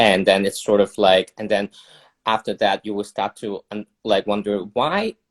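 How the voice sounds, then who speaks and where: Against a quiet background, a man with a Cantonese accent speaks at a fairly low pitch and a fairly slow pace. The sound is dry and close, with no echo. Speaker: illustrator and campaign organizer. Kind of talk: casual chat. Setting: video livestream. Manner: halting.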